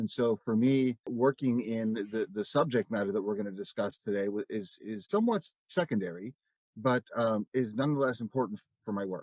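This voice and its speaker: The sound is dry and close with no echo. The speaker has an unremarkable speaking voice, a fairly quick pace and ordinary pitch variation. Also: man, medium pitch for a man. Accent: American. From United States. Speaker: biblical scholar. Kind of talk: interview.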